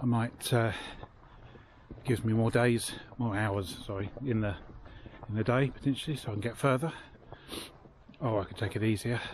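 The recording has a dry sound with no echo and light background noise as a man speaks at a moderate pace with fairly even intonation. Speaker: hiker vlogger. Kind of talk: casual vlog chat. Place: beach. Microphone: phone near.

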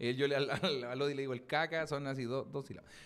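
With a Chilean accent, a man speaks in an animated tone. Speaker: comedian; podcast host. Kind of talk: casual chat. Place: studio. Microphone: studio mic.

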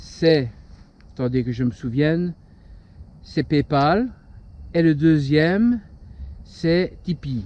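With a dark, mellow tone and a fairly high pitch, a man speaks at a very slow pace with long, frequent pauses and lively intonation, in a dry sound with no echo. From Belgium. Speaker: paranormal urbex YouTuber. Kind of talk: casual channel update vlog. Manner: hesitant, many fillers.

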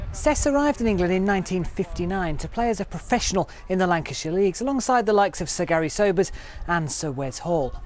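Over music in the background, a man with a high pitch speaks very fast with lively intonation. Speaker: TV news reporter. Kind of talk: TV news report.

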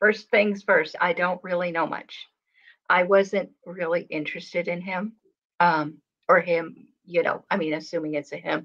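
A woman speaks at a fairly slow pace against a quiet background. Her fairly low voice has a monotone, flat intonation. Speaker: artist and channel host; channel host. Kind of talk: casual chat. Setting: live stream video call. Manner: soft-spoken. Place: home room. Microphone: webcam.

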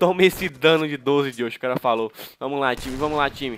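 Noticeable background noise sits behind a man's fairly high voice. He speaks in an animated tone. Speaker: gaming youtuber. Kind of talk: gameplay commentary.

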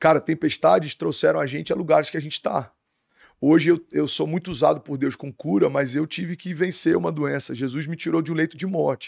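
A man at a fairly quick pace, with a dry sound, no echo and a quiet background. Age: 30s. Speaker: pastor. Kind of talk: casual interview chat. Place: studio. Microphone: studio mic.

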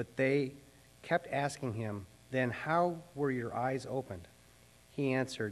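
Male speech, fairly slow in pace. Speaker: pastor. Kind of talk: scripture reading. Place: church. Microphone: podium.

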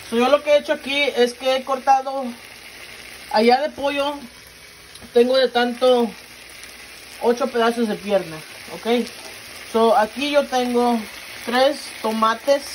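Over light background noise, a woman with a high voice speaks very slowly, leaving long, frequent pauses. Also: ordinary pitch variation. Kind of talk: cooking tutorial. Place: kitchen. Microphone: phone near.

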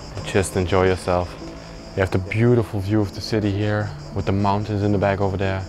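The speaker talks at a moderate pace in a monotone, flat intonation, with light background noise behind the voice. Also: man. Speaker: urban explorer vlogger. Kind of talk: casual vlog chat. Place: hall. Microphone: lapel.

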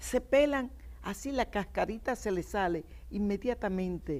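The speaker is a woman with very wide pitch swings. She keeps a moderate pace. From Dominican Republic, Miches (east); Dominican Republic. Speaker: TV talk show guest. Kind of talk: TV talk show chat. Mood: cheerful, nostalgic, laughing. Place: studio. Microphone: lapel.

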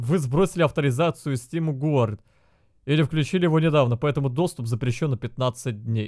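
Over a quiet background, a man talks at a moderate pace. His pitch variation is ordinary. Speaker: game streamer. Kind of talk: casual stream commentary. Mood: annoyed, sarcastic ranting. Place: home room.

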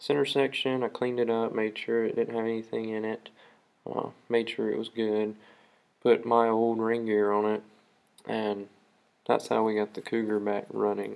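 A man talks at a moderate pace with monotone, flat intonation. Long, frequent pauses break up his speech. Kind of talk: tutorial. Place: garage. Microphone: phone near.

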